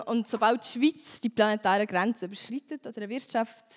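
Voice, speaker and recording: A woman's ordinary speaking voice at a fairly high pitch, with ordinary pitch variation and a dry, close sound with no echo. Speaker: climate activist and politician. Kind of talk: panel discussion.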